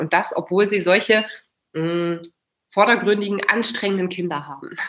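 Here is a woman at a medium pitch. She talks at a fairly quick pace. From Germany, Kassel. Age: 30s. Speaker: family mentor. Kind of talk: casual interview. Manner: animated.

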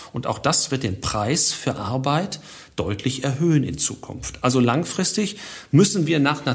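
At a moderate pace, a man talks in a fairly high pitch with ordinary pitch variation. His voice is somewhat breathy. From Germany, Ruhr area. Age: 50s. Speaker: finance professor. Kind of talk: interview.

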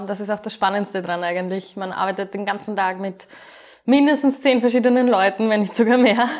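A woman talks at a fairly quick pace in an unremarkable speaking voice, medium in pitch with ordinary pitch variation and big swings in loudness. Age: 20s. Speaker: project manager. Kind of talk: interview.

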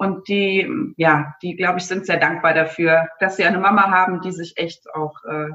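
The speaker is a woman with a medium pitch. She keeps to a moderate pace. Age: 40s. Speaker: aspiring virtual assistant, mother of three. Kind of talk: interview.

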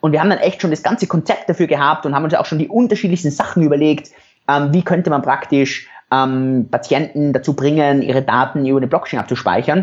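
A man speaks at a very fast pace. His loudness stays very even throughout. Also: fairly high pitch for a man, ordinary pitch variation. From Europe. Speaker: entrepreneur and former doctor. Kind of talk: interview.

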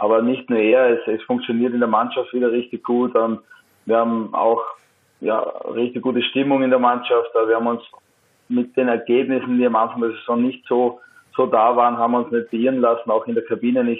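A man at medium pitch, fairly quick and flat, in a monotone. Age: 30s. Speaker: professional footballer. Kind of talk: interview. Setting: phone call.

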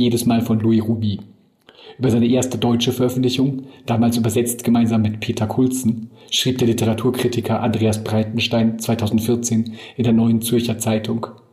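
The speech is monotone and flat, at a moderate pace. Noticeable background noise runs beneath it. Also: man. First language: German. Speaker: podcast host and editor. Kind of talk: scripted narration.

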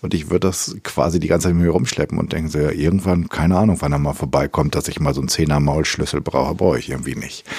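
A man speaks very fast with hardly any pauses. His pitch is very deep and low, and his intonation fairly even. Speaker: podcast host, culture coach. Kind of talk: interview conversation. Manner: casual, hesitant.

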